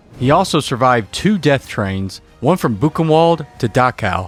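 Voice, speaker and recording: A man's lively intonation and moderate pace carry over music playing in the background. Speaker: podcast host. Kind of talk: podcast intro narration.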